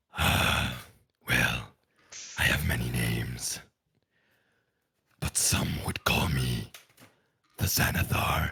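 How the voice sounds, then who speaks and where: A put-on character voice from a man, raspy and very deep, at a very slow pace with long, frequent pauses. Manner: grand, imposing.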